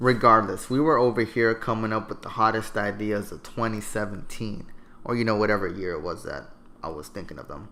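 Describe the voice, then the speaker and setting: A man speaks at a fairly quick pace with a fairly low pitch and a bright, sharp, deadpan tone. His loudness swings widely. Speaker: YouTuber. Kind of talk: comedic storytelling. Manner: monotone.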